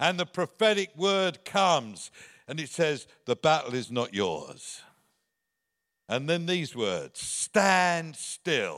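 With an English accent, a man at a high pitch talks at a very slow pace in a very clean recording with a silent background. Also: lively intonation, dry, close sound with no echo. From England. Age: 70s. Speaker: visiting preacher. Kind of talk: sermon. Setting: church.

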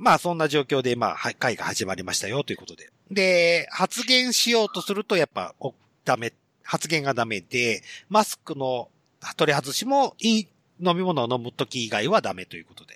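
A man speaks at a moderate pace with a fairly high pitch, very wide pitch swings and a bright, sharp tone. The recording is very clean and dry, close and without echo, with a silent background. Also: big swings in loudness. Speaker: podcast host. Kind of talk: casual chat. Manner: laughs a lot.

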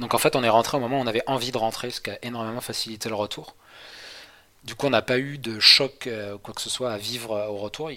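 Bright and sharp in tone, a man of medium pitch talks fairly quickly with fairly even intonation and big swings in loudness. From western France, near Angers. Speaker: traveller recounting a world trip. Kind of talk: casual interview chat. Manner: hesitant, many repetitions and fillers.

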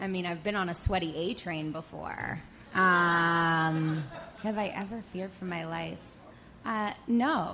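Here is a woman with an unremarkable speaking voice. Her pitch is fairly low, with ordinary variation. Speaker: TV traffic reporter. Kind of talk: storytelling on stage. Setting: stage with audience.

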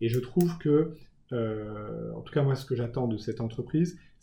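A man talks in a middle pitch, somewhat breathy, with his pitch varying in an ordinary way. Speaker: communications director. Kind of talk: interview. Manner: halting.

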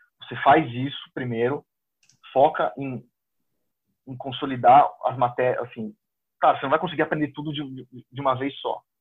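A man speaks at a moderate pace in a fairly high voice with fairly even intonation. His loudness swings widely, and he leaves long, frequent pauses. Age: 30s. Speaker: exam candidate who passed the diplomatic service exam. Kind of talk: interview.

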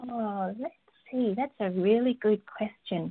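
Speaking in a medium pitch, a woman talks with an Australian accent. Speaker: textile artist and teacher. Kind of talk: interview.

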